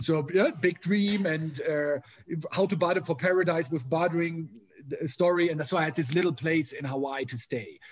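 A man with a German accent and a high pitch speaks at a moderate pace with ordinary pitch variation. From Germany. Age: 40s. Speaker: motivational speaker. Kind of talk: casual interview.

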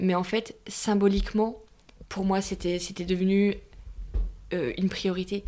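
Her pitch is medium and her pace moderate. This woman's intonation stays monotone and flat. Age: 30s. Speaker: widowed mother. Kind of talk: personal testimony interview.

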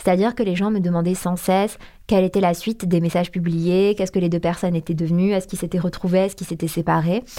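A woman with a dark, mellow tone speaks at medium pitch in a monotone, flat intonation. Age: 20s. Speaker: Instagram account founder. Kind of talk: interview testimony.

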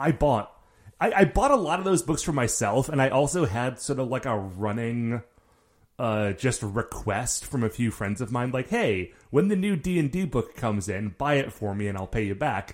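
A man's medium-pitched voice with very wide pitch swings, at a moderate pace, on a very clean recording with a silent background. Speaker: podcast host, guest. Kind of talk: casual chat.

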